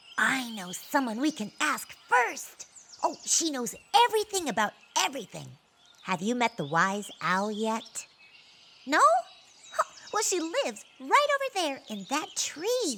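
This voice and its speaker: A female-sounding, put-on character voice uses a bubbly tone at a high pitch for a woman. The pace is fairly slow, with long, frequent pauses. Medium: read story. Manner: bubbly, excitable.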